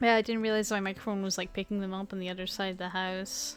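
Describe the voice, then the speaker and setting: Very fast, monotone, flat speech from a woman at medium pitch, with music in the background. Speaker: gaming YouTuber. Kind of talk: casual let's play commentary. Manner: soft-spoken; relaxed.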